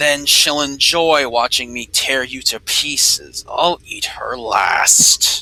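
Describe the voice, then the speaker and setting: This is a put-on character voice from a man, growling and fairly high in pitch. He speaks at a very slow pace. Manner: menacing, laughing, growling.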